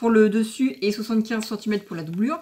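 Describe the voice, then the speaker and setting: A woman with a fairly high pitch amid noticeable background noise. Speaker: sewing vlogger. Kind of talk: tutorial. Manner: hesitant with fillers.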